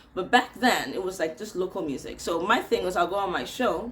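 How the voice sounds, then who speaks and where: An American woman talks at a fairly quick pace, her animated tone carried by lively intonation, with an American accent. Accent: American-sounding. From Nigeria. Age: 40s. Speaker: radio presenter. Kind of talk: casual storytelling vlog.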